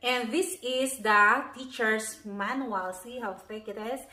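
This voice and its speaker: With audible room echo, a woman talks at a very slow pace in a fairly high pitch with ordinary pitch variation. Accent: Filipino. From Philippines. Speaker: homeschooling parent and video blogger. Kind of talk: curriculum review video. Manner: casual, friendly.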